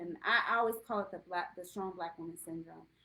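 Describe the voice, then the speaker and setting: A woman with an American accent speaks in a plain, everyday voice, her fairly low pitch moving in fairly even intonation. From Virginia, Richmond. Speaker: domestic violence survivor and speaker. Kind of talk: interview.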